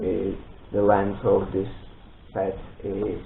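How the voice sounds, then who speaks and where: A man with a non-native accent and fairly low pitch, at a very slow pace, with audible room echo. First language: not English. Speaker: Lego build video creator. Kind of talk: product presentation intro. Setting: home studio. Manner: halting, many fillers.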